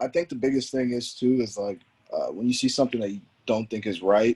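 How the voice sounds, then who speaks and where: A plain, everyday voice comes from a man at a medium pitch. He speaks at a fairly quick pace in a dry, close sound with no echo. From US, born in DC, raised in Houston, Texas; Nigerian parents. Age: 20s. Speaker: former pro soccer player. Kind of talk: podcast interview.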